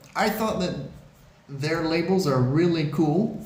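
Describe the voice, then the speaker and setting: The speech comes at a fairly slow pace with ordinary pitch variation, audible room echo and noticeable background noise. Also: man. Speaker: beer reviewer. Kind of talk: product review video. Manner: hesitant, many fillers.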